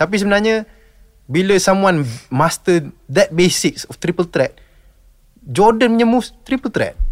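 A high-pitched man with lively intonation and a fairly slow pace, in a dry, close sound with no echo. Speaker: basketball podcaster and player. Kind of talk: casual chat.

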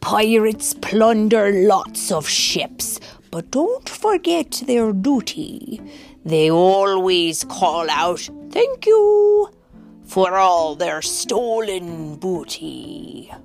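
A put-on character voice at a very slow pace, with faint music in the background. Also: female-sounding voice, medium pitch for a woman. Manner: playful, gruff storybook reading.

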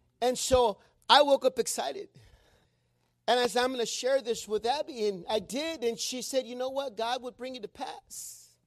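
A man with a slight Mexican accent, his pitch extremely high, at a moderate pace with ordinary pitch variation and big swings in loudness, in a dry, close recording with no echo. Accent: Mexican, slight, comes out when reading. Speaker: preacher. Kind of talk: sermon. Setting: church with congregation. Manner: frequent filler words like uh and amen.

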